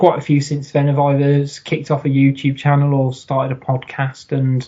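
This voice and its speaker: A man speaks at a moderate pace in a fairly high pitch. His voice is somewhat breathy. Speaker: football podcaster. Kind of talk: casual chat.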